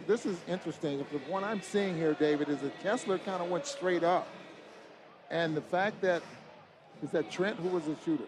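Over noticeable background noise, a man with high pitch speaks at a moderate pace with ordinary pitch variation and long, frequent pauses. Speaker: radio color analyst. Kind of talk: sports commentary analysis. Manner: conversational, measured.

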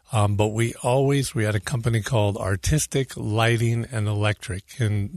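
A man with an American accent speaks with hardly any pauses, fairly low in pitch and somewhat breathy, with very even loudness and fairly even intonation. The sound is dry and close, with no echo. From California. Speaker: lighting designer. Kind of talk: radio interview.

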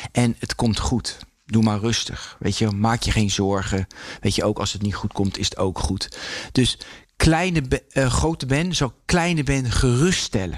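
Moving at a fairly slow pace, a man lets his pitch swing very widely. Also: medium pitch for a man. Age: 50s. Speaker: former pro speed skater and radio maker. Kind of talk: casual interview.

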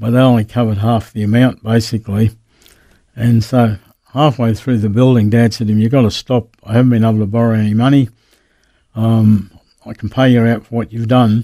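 A man with an Australian accent speaks at a medium pitch in a dark, mellow tone, monotone and flat, at a fairly quick pace. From Queensland, Australia. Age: 70s. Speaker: pastor. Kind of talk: interview, personal testimony. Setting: radio studio.

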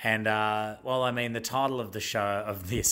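Speaking with an Australian accent at a fairly quick pace, a man has a medium pitch, ordinary pitch variation and a bright, sharp tone. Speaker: podcast host. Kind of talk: casual storytelling chat, intro and outro. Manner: casual, humorous.

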